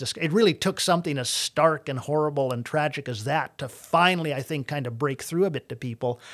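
A normal speaking voice from a man with a Canadian accent, fairly high in pitch, with ordinary pitch variation and a fairly quick pace, on a very clean recording with a silent background. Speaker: comedian. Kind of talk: casual interview chat. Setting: studio.

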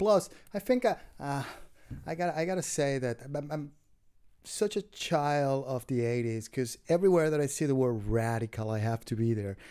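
On a very clean recording with a silent background, a man with a Spanish accent speaks at a moderate pace with lively intonation, a fairly high pitch and a dark, mellow tone. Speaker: comedian. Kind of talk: casual chat. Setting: green room of a comedy club.

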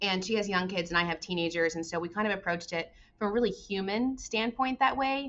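An unremarkable speaking voice with an American accent moves at a fairly quick pace with lively intonation. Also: woman. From Arizona. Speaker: tourism organization executive. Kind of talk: podcast interview.

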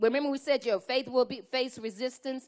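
A woman's high-pitched voice in a very clean recording with a silent background. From Louisiana. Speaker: pastor. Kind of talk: sermon. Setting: church.

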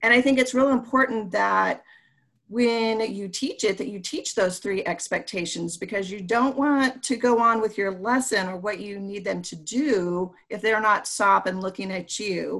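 A plain, everyday voice from a woman at medium pitch, with ordinary pitch variation, big swings in loudness, a moderate pace, and a very clean recording over a silent background. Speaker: elementary school teacher and podcast co-host. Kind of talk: casual educational podcast chat.

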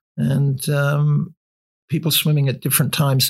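Somewhat breathy and fairly high-pitched, a man speaks with monotone, flat intonation. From Canada. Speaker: author and cold water swimmer. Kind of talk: casual interview. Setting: at his home.

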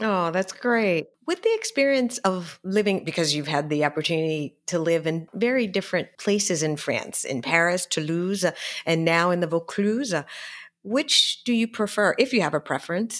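At a moderate pace, a woman with an American accent uses an ordinary speaking voice of medium pitch and ordinary pitch variation, in a very clean recording with a silent background. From Philadelphia, US. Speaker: podcast host, property consultant. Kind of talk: podcast interview.

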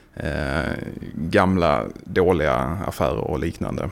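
A man with a very deep, low pitch talks at a very slow pace with vocal fry. His pitch varies in an ordinary way. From Skåne, southern Sweden (Landskrona). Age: 30s. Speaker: football supporter, fan fund founder. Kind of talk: casual chat. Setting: studio.

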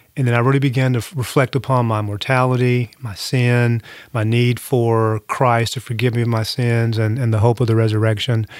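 A man with a medium pitch speaks in a monotone, flat intonation. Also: moderate pace. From Eastern Kentucky. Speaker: New Testament professor and pastor. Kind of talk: interview; testimony.

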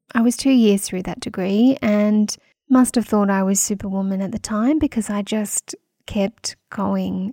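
In an Australian accent, a woman speaks at a moderate pace with a medium pitch and a dark, mellow tone, the sound dry and close with no echo. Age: 40s. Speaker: podcast host, women's health practitioner. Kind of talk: solo podcast monologue.

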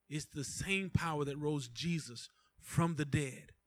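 This man has a plain, everyday voice at a fairly high pitch. He speaks at a fairly slow pace. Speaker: pastor. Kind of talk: prayer. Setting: church.

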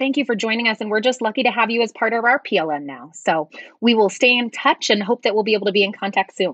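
Against a quiet background, a woman speaks very fast at a fairly high pitch with ordinary pitch variation, in a dry, close sound with no echo. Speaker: instructional coach and podcast co-host. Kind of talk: casual podcast conversation. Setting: remote recording.

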